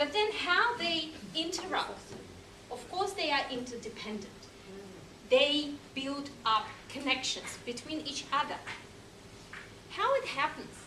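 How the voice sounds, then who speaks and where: A woman with a high pitch uses a raised, projected voice and lively intonation at a fairly slow pace, with long, frequent pauses, audible room echo and noticeable background noise. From Russia, Moscow. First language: Russian. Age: 40s. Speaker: language teacher. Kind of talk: lecture.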